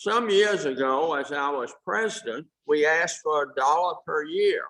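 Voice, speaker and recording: Using a bright, sharp tone and a fairly high pitch, a man with an American accent speaks at a moderate pace with ordinary pitch variation. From Virginia, Norfolk. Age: 80s+. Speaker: club member, past president, Navy veteran. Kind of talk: club meeting speech.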